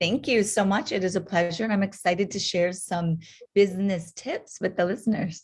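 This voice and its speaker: A woman talks at a moderate pace in a medium pitch, her voice somewhat breathy. Her intonation stays fairly even. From North Dakota. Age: 40s. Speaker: podiatrist and entrepreneur. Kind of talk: interview podcast.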